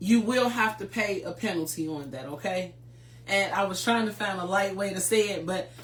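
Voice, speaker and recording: A woman's lively intonation at a moderate pace, with noticeable background noise and audible room echo. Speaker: tax preparer hosting a finance show. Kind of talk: educational livestream talk.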